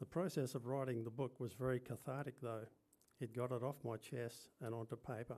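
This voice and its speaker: With an Australian accent, a man speaks at a fairly quick pace in a dark, mellow tone with fairly even intonation. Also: medium pitch for a man. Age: 70s. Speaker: speaker at a commemoration event; birth father and yoga teacher. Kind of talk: prepared personal testimony speech. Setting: function venue with live audience.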